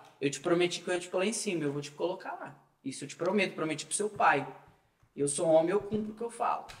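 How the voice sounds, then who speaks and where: At a very fast pace, the speech shows big swings in loudness and ordinary pitch variation, with audible room echo. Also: man, high pitch for a man. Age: 20s. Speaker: political activist. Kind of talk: casual chat. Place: studio.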